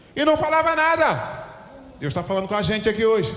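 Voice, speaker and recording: Amid noticeable background noise and audible room echo, a man talks at a fairly quick pace with lively intonation and an animated tone. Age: 60s. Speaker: pastor. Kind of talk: sermon. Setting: church.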